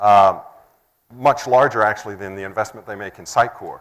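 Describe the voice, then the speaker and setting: The recording is very clean, with a silent background. A man with a Texan accent speaks at a moderate pace. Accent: Texan American. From Texas, United States. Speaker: software integration presenter. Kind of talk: conference talk.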